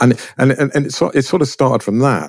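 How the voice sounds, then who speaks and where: Over music in the background, a man talks at a fairly quick pace in a dry, close sound with no echo. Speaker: portrait photographer. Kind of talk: interview.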